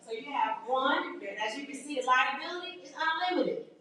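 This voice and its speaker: In an animated tone, a woman talks at a fairly quick pace with very wide pitch swings, and audible room echo surrounds her. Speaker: teacher running a business workshop. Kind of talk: workshop lecture to a live class. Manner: animated, conversational.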